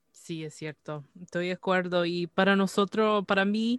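A woman talks with a fairly low pitch at a fairly slow pace, in a plain, everyday voice. The recording is very clean, with a silent background. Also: dry, close sound with no echo. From Canada. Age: 30s. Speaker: podcast host. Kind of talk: casual chat.

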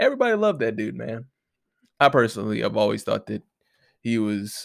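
A man speaks with fairly low pitch, a nasal sound and vocal fry. The recording is very clean, with a silent background.

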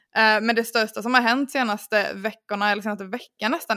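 A woman talks at a fairly quick pace in a bright, sharp tone, her pitch fairly high and her intonation fairly even. The sound is dry and close with no echo, on a very clean recording with a silent background. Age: 20s. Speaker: podcast host, marketer. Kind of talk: casual chat.

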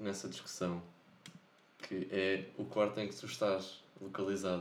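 Fairly low male voice in monotone, flat intonation, moderate pace, with audible room echo. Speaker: podcast co-host. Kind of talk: casual chat.

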